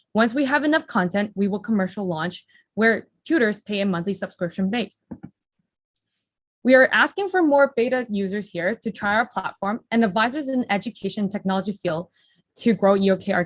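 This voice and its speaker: Somewhat breathy, a woman speaks at medium pitch with ordinary pitch variation. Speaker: startup founder pitching. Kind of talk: startup pitch. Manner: fast; rapid-fire without pauses.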